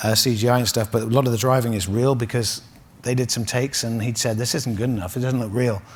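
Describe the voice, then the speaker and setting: A man with an English accent, medium pitch, and a very fast pace. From England. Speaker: automotive executive. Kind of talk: interview. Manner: halting; animated.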